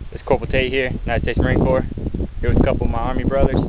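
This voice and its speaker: A man's voice in a dry sound with no echo, over loud background noise. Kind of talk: casual vlog chat, sarcastic commentary. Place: open country. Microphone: phone near.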